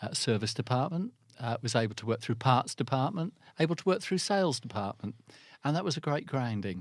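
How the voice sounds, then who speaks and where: A man with an English accent at medium pitch, fairly quick, with very wide pitch swings, on a very clean recording with a silent background. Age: 60s. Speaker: business development manager in the car industry. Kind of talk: interview. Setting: studio. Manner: halting.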